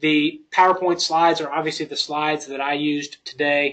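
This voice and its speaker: A man in a Southern US accent, fairly high-pitched, with monotone, flat intonation at a moderate pace. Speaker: software company presenter. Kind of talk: webinar presentation. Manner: halting, many fillers.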